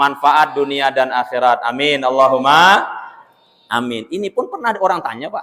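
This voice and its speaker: Speaking at a moderate pace, a man has a medium-pitched voice. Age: 30s. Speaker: Islamic preacher. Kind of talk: sermon. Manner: animated.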